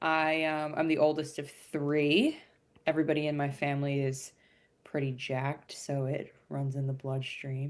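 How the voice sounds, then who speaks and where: On a very clean recording with a silent background, a woman with an American accent speaks at a moderate pace in a very deep, low pitch with monotone, flat intonation. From New Jersey. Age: 20s. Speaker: podcast guest, weightlifter. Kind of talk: casual chat.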